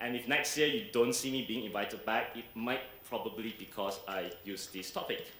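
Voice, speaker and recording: At a moderate pace and medium pitch, a man talks with ordinary pitch variation, surrounded by audible room echo and noticeable background noise. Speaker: entrepreneur and keynote speaker. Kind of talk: keynote speech.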